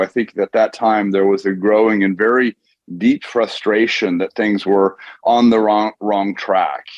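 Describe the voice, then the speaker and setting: A man with an American accent has an ordinary speaking voice, fairly low in pitch. He talks at a moderate pace with fairly even intonation. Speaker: author and investor. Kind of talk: interview.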